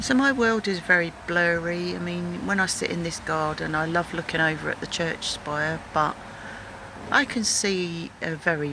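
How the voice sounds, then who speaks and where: Background noise is noticeable as a woman speaks at a fairly slow pace. Her pitch is very deep and low, with ordinary variation. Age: 60s. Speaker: video blogger. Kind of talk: personal video message. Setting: outdoors in a garden. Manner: halting.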